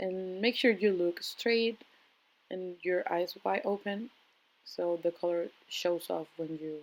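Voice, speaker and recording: The speaker has a non-native accent and talks at a very slow pace with long, frequent pauses. The intonation stays fairly even while the loudness swings widely. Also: woman. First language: not English. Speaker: makeup artist vlogger. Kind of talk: makeup tutorial. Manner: casual, hesitant with fillers.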